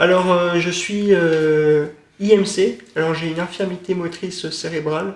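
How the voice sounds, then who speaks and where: Very slow, monotone, flat speech from a man with a high pitch. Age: 20s. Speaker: film student and author. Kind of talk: interview. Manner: halting, many filler sounds.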